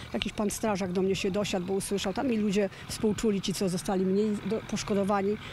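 Over light background noise, a woman races along very fast with hardly any pauses, very even loudness, and fairly even intonation, in a dry sound with no echo. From Poland, Kłodzko Valley; Poland. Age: 60s. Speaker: flood victim. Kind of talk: interview. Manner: halting. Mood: sad, shaken, emotional. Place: open country. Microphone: handheld.

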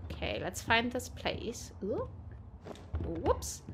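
A woman speaks with a bright, sharp tone. Her pitch makes big swings.

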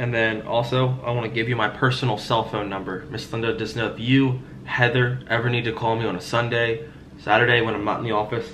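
A man's flat, monotone delivery at a fairly quick pace, over light background noise. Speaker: insurance sales agent. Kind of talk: sales phone call. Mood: friendly, reassuring, persuasive. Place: home room. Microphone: headset.

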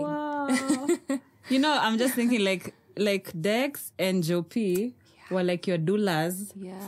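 Against light background noise, a woman speaks at a fairly slow pace with lively intonation and long, frequent pauses. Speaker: podcast host / interviewer. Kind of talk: podcast interview. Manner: upbeat, lively. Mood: warm, affirming. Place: studio. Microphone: studio mic.

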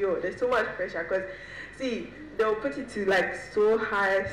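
A woman talks at a moderate pace, her intonation fairly even, while noticeable background noise carries on. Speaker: software engineer and panelist. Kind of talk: panel discussion. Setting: stage with audience.

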